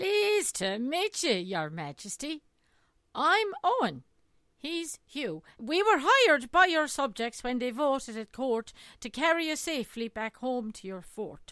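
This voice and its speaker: A woman's put-on character voice, high and fairly slow, with very wide pitch swings. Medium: read story.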